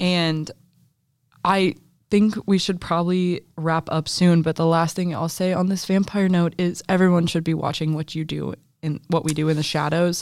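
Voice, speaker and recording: On a very clean recording with a silent background, a woman speaks in a fairly low, monotone, flat voice. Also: moderate pace. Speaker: college student podcast co-host. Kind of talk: casual chat.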